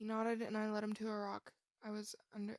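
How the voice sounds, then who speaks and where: A woman speaks at a fairly high pitch and a fairly quick pace. Her intonation is monotone and flat, the sound dry and close with no echo. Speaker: fan fiction reader. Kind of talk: reading aloud. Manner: projects more and sounds cheery when smiling.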